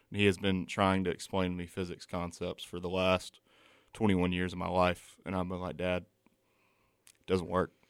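Over a silent background in a very clean recording, a man with a Southern US accent speaks at a moderate pace in a very deep, low, monotone, flat voice. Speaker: college student. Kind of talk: casual chat. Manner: loud.

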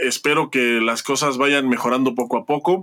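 With a bright, sharp tone, the man speaks at a fairly high pitch. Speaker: panelist on taekwondo show. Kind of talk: casual chat.

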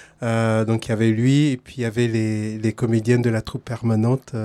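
A man talks in an ordinary speaking voice at medium pitch and a moderate pace. The recording is very clean, with a silent background. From Togo. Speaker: playwright. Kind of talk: interview. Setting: outdoors.

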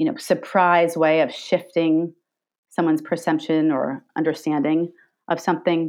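The voice is a normal speaking voice, with very even loudness and fairly even intonation at a moderate pace. The recording is very clean, with a silent background. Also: woman, fairly low pitch for a woman. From Long Island, New York. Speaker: scientist and filmmaker. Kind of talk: interview conversation.

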